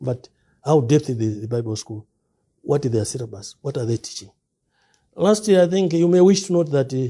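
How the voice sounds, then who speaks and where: A man talks with a dark, mellow tone at a fairly high pitch, somewhat breathy. His pitch swings very widely, and he leaves long, frequent pauses. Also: fairly quick pace. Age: 60s. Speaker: preacher. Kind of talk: interview. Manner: halting.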